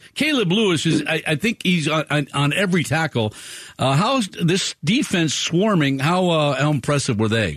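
An unremarkable speaking voice with lively intonation and very even loudness moves at a moderate pace over a quiet background. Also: man, fairly high pitch for a man. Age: 60s. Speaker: radio sports show host. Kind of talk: live radio talk show. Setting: radio studio.

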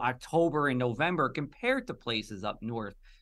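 Speaking with a New Jersey accent, a man uses a fairly high pitch that swings very widely up and down. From New Jersey (Union). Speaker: meteorologist, podcast co-host. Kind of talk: interview.

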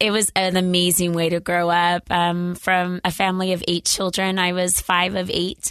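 A woman's medium-pitched, monotone voice with flat intonation, very even loudness and a moderate pace against a quiet background. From US, rural Idaho. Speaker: business founder. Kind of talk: casual interview. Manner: pitch breaks up and down.

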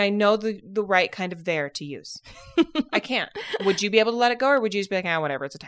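A woman with a Utah accent speaks very fast at a fairly high pitch. Her intonation is lively, and her loudness swings widely. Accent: Utah American. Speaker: podcast host. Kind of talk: casual chat.

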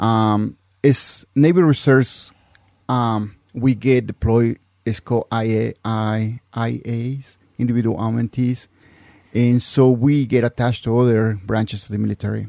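Fairly even intonation at a fairly slow pace, with a dry, close sound and no echo. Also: man, medium pitch for a man. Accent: Mexican. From Mexico. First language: Spanish. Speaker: navy reservist, intelligence specialist. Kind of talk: interview. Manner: halting.

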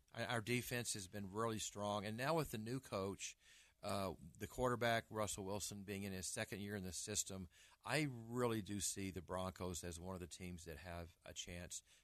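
Against a quiet background, a man with an American accent speaks in a normal speaking voice at a moderate pace, his fairly low pitch showing ordinary variation. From Arkansas, US South. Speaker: real estate broker and agent trainer. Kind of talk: radio talk show interview. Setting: radio studio.

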